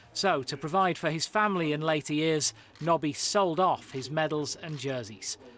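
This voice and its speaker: Music plays in the background. A man with a fairly high voice talks at a moderate pace. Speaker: TV reporter. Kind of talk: TV news report voiceover.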